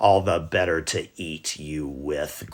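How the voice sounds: Growling in a put-on character voice, a man speaks at a fairly slow pace. His pitch is very deep and low.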